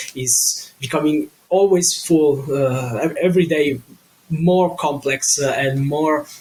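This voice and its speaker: A man with an Italian accent speaks with ordinary pitch variation over noticeable background noise. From Italy. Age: 20s. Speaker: digital marketing consultant. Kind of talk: podcast interview. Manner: halting, many fillers.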